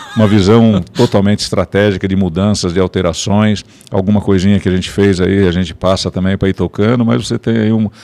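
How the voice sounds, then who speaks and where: A man talks at a fairly quick pace with a fairly low pitch and fairly even intonation. The sound is dry and close with no echo, and his tone is dark and mellow. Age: 70s. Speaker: business owner and industry association director. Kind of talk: podcast interview. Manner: halting, with repetitions.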